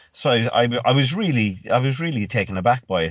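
A man with a Cork accent. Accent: Cork Irish. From Ireland, rural West Cork. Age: 30s. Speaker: fitness coach and gym owner. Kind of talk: casual chat.

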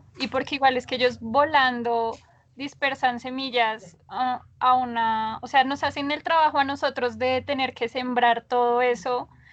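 Her voice pitched high, a woman talks at a fairly slow pace with fairly even intonation. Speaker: biologist, mammalogist. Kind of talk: casual interview conversation.

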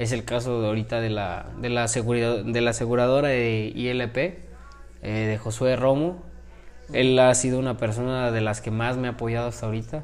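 Amid noticeable background noise and audible room echo, a man talks at a moderate pace with a medium pitch and fairly even intonation. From Mexico, Celaya. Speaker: professional boxer. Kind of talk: interview.

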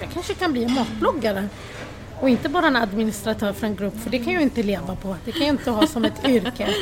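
Over noticeable background noise, a woman talks very fast with lively intonation and a fairly high pitch. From Sweden, Lebanese-born. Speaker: food blogger. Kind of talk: interview.

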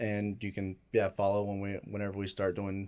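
The very clean recording, with a silent background, captures a man with an American accent and a fairly low pitch in a dark, mellow tone. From Arizona, Gilbert area. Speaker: chef. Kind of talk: casual interview.

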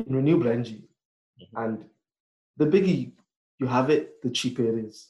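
This man talks at a fairly quick clip, his medium-pitched voice dark, mellow and somewhat breathy with ordinary pitch variation. Long pauses come often between his words. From northern England, raised partly in Nigeria and Cameroon until age 10. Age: 20s. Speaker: renewable energy engineer. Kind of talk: casual interview chat.

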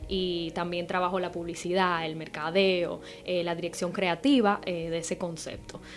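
A woman's plain, everyday voice at a medium pitch. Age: 20s. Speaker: makeup and sustainable fashion content creator, student. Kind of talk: casual radio chat interview. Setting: radio studio.

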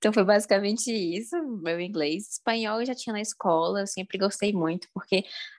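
A woman speaks with a Brasília accent at a medium pitch and a fairly quick pace. Her pitch varies in an ordinary way, and the sound is dry and close with no echo. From Brasília, Brazil. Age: 20s. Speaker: language learning content creator and student. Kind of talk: casual interview chat.

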